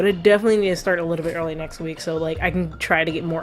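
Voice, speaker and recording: With music in the background, a woman's voice comes through with audible room echo. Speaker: video game streamer. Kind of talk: let's play commentary. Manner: animated.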